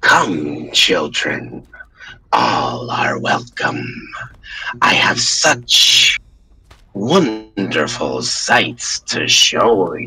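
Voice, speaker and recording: A man puts on a raspy character voice at a very slow pace, with long, frequent pauses. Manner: inviting, sinister.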